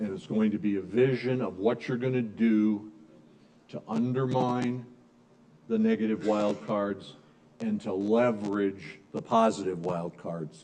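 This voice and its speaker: A dark, mellow tone at a fairly slow pace. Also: man, fairly low pitch for a man, ordinary pitch variation. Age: 60s. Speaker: business strategy speaker. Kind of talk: lecture. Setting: room with live audience.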